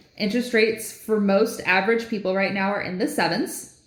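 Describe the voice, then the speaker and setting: There is audible echo from the room. The woman's delivery is fairly quick. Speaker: mortgage lender, podcast co-host. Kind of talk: casual podcast chat.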